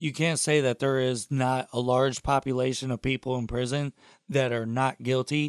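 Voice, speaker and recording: This is a man with an American accent and a normal speaking voice, at a medium pitch and moderate pace. His intonation is fairly even, and the sound is dry and close with no echo. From Toledo, Ohio. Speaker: podcast intern and co-host. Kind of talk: casual chat.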